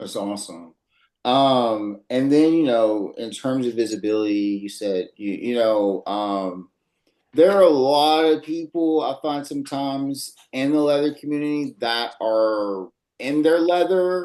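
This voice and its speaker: At a fairly slow pace, a man with a Louisiana accent speaks at medium pitch in a dark, mellow tone with lively intonation, the background quiet. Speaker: podcast host. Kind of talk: panel discussion. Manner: casual, many fillers.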